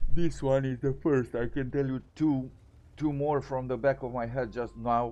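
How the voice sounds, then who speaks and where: A man with a dark, mellow tone speaks at a medium pitch and moderate pace, his intonation monotone and flat. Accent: non-native. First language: not English. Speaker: gaming commentator. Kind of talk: gameplay commentary. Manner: halting, with repetitions.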